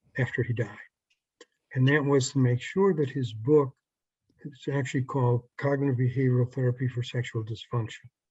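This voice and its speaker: With a dark, mellow tone and a somewhat breathy quality, a man talks at a moderate pace in a medium pitch. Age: 70s. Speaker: psychologist and sex therapist. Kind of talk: interview. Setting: video call.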